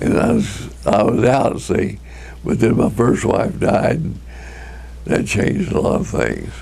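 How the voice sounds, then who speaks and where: With an American accent, a man delivers his words at a fairly slow pace while noticeable background noise plays behind him. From Tucumcari, New Mexico. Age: 80s+. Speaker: retired furniture businessman. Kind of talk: deposition testimony.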